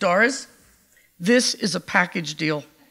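In a put-on character voice, the speaker sounds resonant at a middle pitch and a fairly slow pace. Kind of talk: firm, confident.

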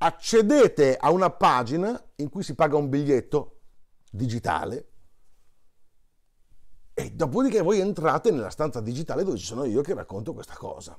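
There is vocal fry in this man's voice, with very wide pitch swings and big swings in loudness. He keeps a moderate pace with long, frequent pauses against a quiet background. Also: fairly high pitch for a man. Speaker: monologist, stage storyteller. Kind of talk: casual talk to camera promoting a show. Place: home room. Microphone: lapel.

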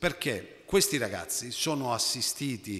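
Bright and sharp in tone, a man speaks at a fairly slow pace with lively intonation. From southern Italy, Basilicata. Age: 40s. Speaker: cooperative founder; conference panelist. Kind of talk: conference talk. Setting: conference hall with audience. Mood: earnest, concerned. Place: hall. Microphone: podium.

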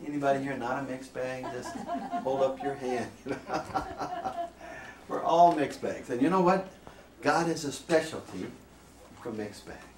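A man at a moderate pace with ordinary pitch variation and long, frequent pauses, plus light background noise and audible room echo. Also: big swings in loudness. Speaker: priest presenter. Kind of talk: lecture. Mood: warm, light humor. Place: classroom.

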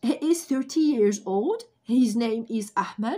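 A woman speaks very slowly with very wide pitch swings. The background is quiet. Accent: Algerian. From Algeria. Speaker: English teacher. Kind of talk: tutorial. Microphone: phone near.

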